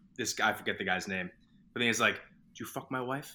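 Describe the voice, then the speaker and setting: A man with a Boston accent speaks in a bright, sharp tone on a very clean recording with a silent background. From Boston, Massachusetts. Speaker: film fan guest. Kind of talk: casual chat.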